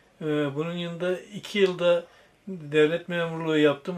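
A man speaks in a high pitch at a fairly slow pace. His intonation is fairly even. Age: 70s. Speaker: secondhand bookseller. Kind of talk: interview answer. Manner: hesitant, with filler sounds.

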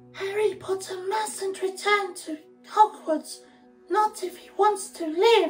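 Faint music plays behind a put-on character voice at an extremely high pitch, moving at a fairly slow pace. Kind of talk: casual vlog chat, reading a book blurb aloud. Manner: frightened, pleading.

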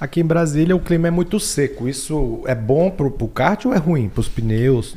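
Hardly pausing, a man speaks at a moderate pace with lively intonation. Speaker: podcast host. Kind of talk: interview. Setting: studio. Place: studio. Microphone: studio mic.

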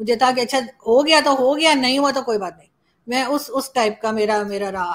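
At a moderate pace, a woman with a high pitch and ordinary pitch variation speaks over a quiet background. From Pakistan, Islamabad; Pakistan. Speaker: journalist and YouTuber; journalist, YouTuber. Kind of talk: interview. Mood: emotional, grateful. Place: home room.

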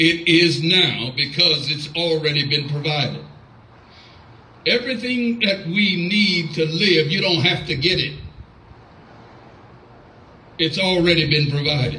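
A man's fairly high, bright, sharp voice at a slow pace, with ordinary pitch variation, long, frequent pauses and audible room echo

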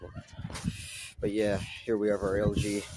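Over loud background noise, a man speaks very slowly in a dry recording with no echo. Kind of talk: casual vlog chat. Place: street.

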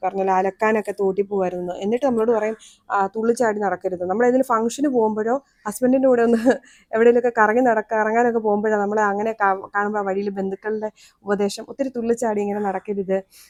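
A woman's unremarkable speaking voice, fairly high in pitch, with dry, close sound and no echo. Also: fairly even intonation. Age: 30s. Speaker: vlogger. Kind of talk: personal story monologue.

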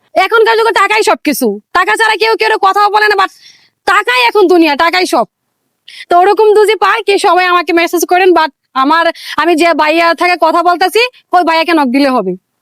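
A woman's extremely high voice, with very even loudness and ordinary pitch variation, in a dry, close sound with no echo. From Bangladesh, Mymensingh. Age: 20s. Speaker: interviewee. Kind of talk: street interview.

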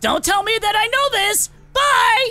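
A put-on character voice with music in the background. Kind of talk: game roleplay character voice. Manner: panicky, dramatic.

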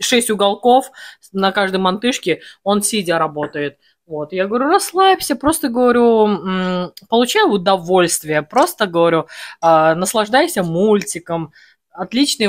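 Against a quiet background, a woman speaks very slowly with lively intonation and long, frequent pauses. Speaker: home food vlogger. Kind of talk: casual vlog chat. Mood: cheerful, storytelling. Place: home room. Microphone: phone near.

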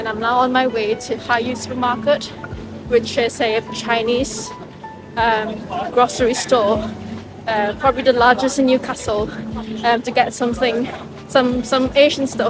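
With clear music in the background, a woman speaks with long, frequent pauses, the sound dry with no echo. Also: moderate pace. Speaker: student vlogger. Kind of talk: casual vlog chat. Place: street. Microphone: phone near.

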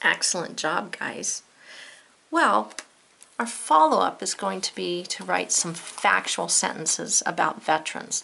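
Over noticeable background noise, a woman with an American accent talks at a fairly slow pace. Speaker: teacher. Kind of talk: poem reading aloud, then classroom-style lesson. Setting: video lesson to students. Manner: measured, rhythmic, sing-song cadence in the verses; warm and encouraging.

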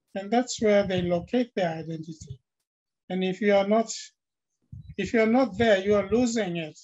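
Pausing long and often, a man talks at a moderate pace in a high voice with ordinary pitch variation. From Papua New Guinea. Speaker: linguistics professor. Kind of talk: panel discussion. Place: office. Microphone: webcam.

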